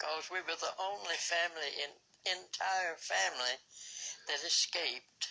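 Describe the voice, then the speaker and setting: A woman with a Southern US accent has a fairly low pitch, a bright, sharp tone, vocal fry and ordinary pitch variation. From Alabama. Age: 80s+. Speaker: pandemic survivor. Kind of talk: interview answer.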